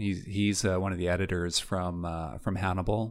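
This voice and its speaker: A very deep, low-pitched man's voice with a Canadian accent, flat monotone intonation and a moderate pace, on a very clean recording with a silent background. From Vancouver, western Canada. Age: 50s. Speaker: film editor. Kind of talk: casual interview. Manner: halting, repeats words.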